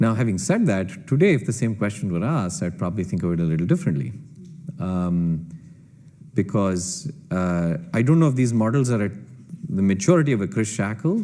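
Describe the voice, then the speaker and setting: With a Kannada accent, this voice moves at a fairly quick pace through very wide pitch swings in a dark, mellow tone. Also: man, fairly low pitch for a man. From India. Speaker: computer scientist and entrepreneur. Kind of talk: panel Q&A answer.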